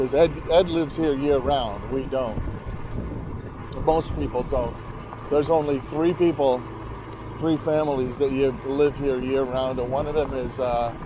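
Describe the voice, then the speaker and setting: Pausing long and often, a man with a fairly high pitch keeps his intonation fairly even against noticeable background noise. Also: fairly slow pace. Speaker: motorcycle vlogger. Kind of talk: ride narration. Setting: outdoors riding a motorcycle. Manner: casual, talking to himself; jolted by bumps.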